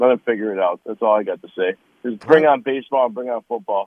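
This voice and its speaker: With an American accent, a man talks at a fairly quick pace with lively intonation in an unremarkable speaking voice. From Detroit area, Michigan. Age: 50s. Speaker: caller. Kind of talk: sports talk radio call.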